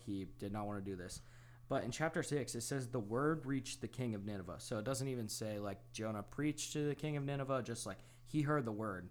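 A man's normal speaking voice at a medium pitch and a fairly quick pace, with ordinary pitch variation. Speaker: podcast co-host. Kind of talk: casual chat.

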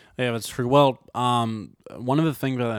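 A man with ordinary pitch variation on a very clean recording against a silent background. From France, near Valence. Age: 20s. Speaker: filmmaker. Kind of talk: casual interview chat. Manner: halting, many fillers.

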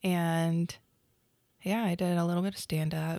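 Speaking with a slight Oklahoma accent, a woman keeps a moderate pace in a fairly low pitch with monotone, flat intonation, in a very clean recording with a silent background. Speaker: beauty business owner. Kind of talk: casual chat.

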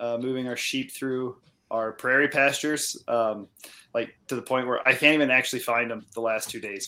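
A man with an American accent, medium pitch and a bright, sharp tone, speaking at a moderate pace with fairly even intonation. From US Midwest, Iowa. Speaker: sheep farmer. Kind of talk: casual chat.

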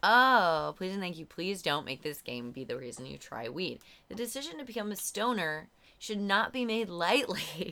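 Bright and sharp in tone, a woman's voice shows very wide pitch swings and vocal fry. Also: medium pitch for a woman, moderate pace. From Virginia, US. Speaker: comedian. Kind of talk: casual chat. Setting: at home in the host's room. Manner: giggly, laughs constantly.

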